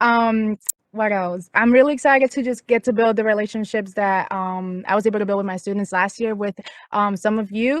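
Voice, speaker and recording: Over a quiet background, a woman with a slight Puerto Rican accent speaks at a fairly quick pace. Her pitch is fairly high and her intonation fairly even. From Puerto Rico. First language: Spanish. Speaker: graduate intern and student advocate. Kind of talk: welcome introduction on video call. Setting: outdoors, video call.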